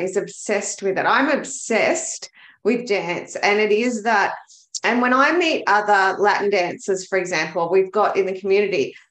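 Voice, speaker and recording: In an Australian accent, a woman talks at a moderate pace with a fairly high pitch and ordinary pitch variation. The background is quiet, though audible room echo can be heard. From Australia, Melbourne. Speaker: bookkeeper, business coach and dancer; business coach. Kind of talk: casual interview chat. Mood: earnest, enthusiastic. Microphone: webcam.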